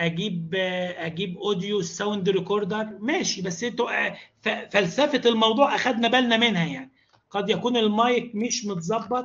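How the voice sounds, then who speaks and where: A man with a high voice talks at a moderate pace, varying his pitch in an ordinary way. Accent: Egyptian. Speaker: university lecturer and e-learning trainer. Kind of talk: online training tutorial.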